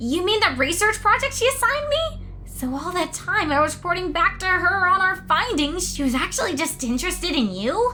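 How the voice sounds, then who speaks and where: The speaker uses a put-on character voice. Music plays clearly in the background. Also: female-sounding voice, extremely high pitch for a woman, moderate pace. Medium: audio drama.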